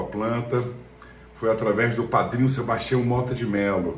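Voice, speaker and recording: With audible room echo and noticeable background noise, a man talks at a moderate pace and medium pitch with fairly even intonation. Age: 60s. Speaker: actor. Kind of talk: testimony.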